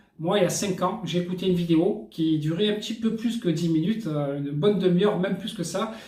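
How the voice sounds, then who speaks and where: In a room with audible echo, a man speaks at a high pitch. His pace is fairly quick, with ordinary pitch variation. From France. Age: 40s. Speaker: network marketing entrepreneur. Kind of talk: sales pitch. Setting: hotel room. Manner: casual, hesitant with fillers.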